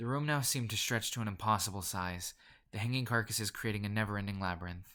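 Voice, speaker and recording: Very clean recording with a silent background, carrying a man's fairly low-pitched voice. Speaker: creepypasta narrator. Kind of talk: horror story reading. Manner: fast.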